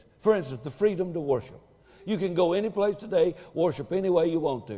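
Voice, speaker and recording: Against noticeable background noise, a man speaks at a fairly quick pace in a high voice with lively intonation. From Tennessee. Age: 70s. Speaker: pastor. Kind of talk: sermon.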